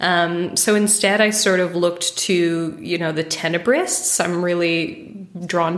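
A woman with an American accent and a fairly low pitch speaks against noticeable background noise. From United States. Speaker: painter. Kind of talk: casual interview conversation.

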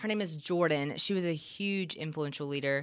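A woman speaks with a Southern US accent and ordinary pitch variation, in a very clean recording with a silent background. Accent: Southern US (Georgia). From US South, middle Georgia (Gray, near Macon). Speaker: church ministry resident. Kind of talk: casual interview. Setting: studio, sitting across from host.

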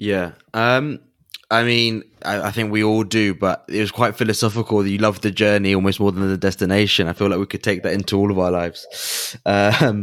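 A man with an English accent speaks at a fairly low pitch and a fairly quick pace. His intonation stays fairly even. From England. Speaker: podcast host.

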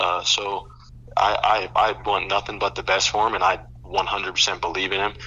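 A man with an American accent and fairly low pitch, lively intonation and a moderate pace, over noticeable background noise. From Colorado, US (Boulder). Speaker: former college football player and Twitch streamer. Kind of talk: casual interview. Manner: repeats words, false starts.

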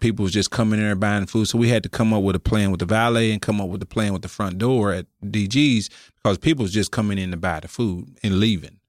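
In a normal speaking voice, a man with an American accent talks at a fairly quick pace, his pitch fairly low and his intonation fairly even, on a very clean recording with a silent background and a dry, close sound with no echo. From Oklahoma City, US. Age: 50s. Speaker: restaurant co-owner and music manager. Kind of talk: casual interview chat. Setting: studio.

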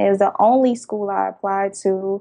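At a moderate pace, a woman of medium pitch speaks with an American accent. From New Jersey, Jersey City. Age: 20s. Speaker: graphic design business owner. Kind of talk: interview.

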